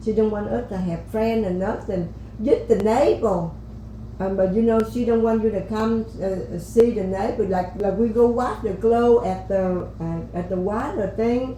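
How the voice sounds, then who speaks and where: The speech moves at a moderate pace, with audible room echo. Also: woman. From Vietnam. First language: Vietnamese. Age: old. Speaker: podcast guest, host's grandmother. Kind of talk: life story interview. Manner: halting.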